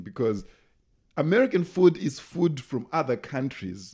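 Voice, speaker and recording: With a Zimbabwean accent, a man talks in an animated tone at a fairly quick pace. His pitch swings very widely. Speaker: comedian. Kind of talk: casual chat, comedy storytelling. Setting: studio.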